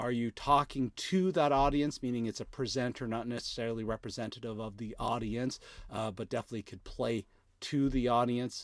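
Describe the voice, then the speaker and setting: A man talks in an ordinary speaking voice at a moderate pace, with a medium pitch and ordinary pitch variation, in a very clean recording with a silent background. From Canada. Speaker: video content creator. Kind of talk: live tutorial. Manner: casual, many fillers.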